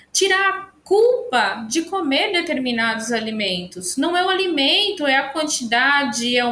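Very slow and raised to a projected level, the voice swings very widely in pitch. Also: woman. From São Paulo city, Brazil. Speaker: nutrition professor. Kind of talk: casual chat.

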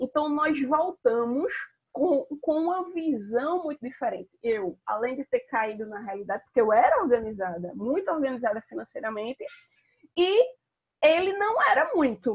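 At a moderate pace, a woman speaks at high pitch with very wide pitch swings. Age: 30s. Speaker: personal finance content creator. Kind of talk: live stream monologue. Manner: casual, with many fillers.

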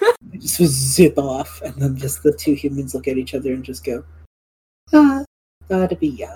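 Moderate pace and big swings in loudness, with music in the background. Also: woman. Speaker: podcast host and game master. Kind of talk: casual chat, tabletop roleplaying podcast.

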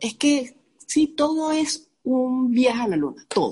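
This is a woman speaking. She has a Venezuelan accent. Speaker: ceramicist, graphic designer. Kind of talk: casual chat. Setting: video call.

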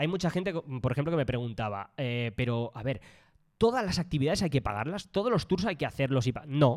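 Very wide pitch swings mark this man's fairly high voice as he talks at a fairly quick pace on a very clean recording with a silent background. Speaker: travel podcast co-host. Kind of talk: casual chat.

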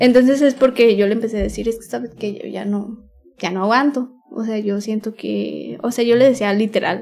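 Speaking at a moderate pace with a Mexican accent, a woman keeps her fairly high voice in fairly even intonation. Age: 20s. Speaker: former youtuber and singer. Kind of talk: personal story interview. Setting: home recording at night.

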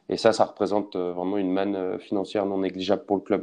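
A man speaks in a fairly low voice with a dark, mellow tone. The background is quiet. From France, Lorraine (Nancy). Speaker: rugby club sponsorship manager. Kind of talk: interview. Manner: hesitant, many fillers and repetitions.

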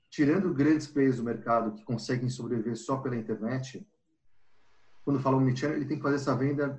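A man speaks at a fairly quick pace and a medium pitch. His voice is somewhat breathy, with ordinary pitch variation. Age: 40s. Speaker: marketing professional. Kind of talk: casual chat.

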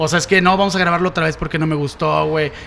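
With a Mexican accent, a man speaks at a very fast pace. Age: 30s. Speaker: podcast host. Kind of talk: casual chat. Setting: studio.

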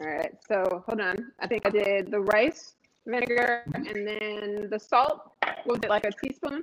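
Using a plain, everyday voice, a woman talks at a fairly slow pace with a fairly high pitch and ordinary pitch variation. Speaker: chef and business owner. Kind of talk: live cooking show demo. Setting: online livestream.

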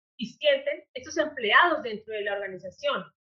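Her voice is high in pitch, with lively intonation and a moderate pace. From Colombia, Popayán. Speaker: HR consultant. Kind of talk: interview. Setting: podcast.

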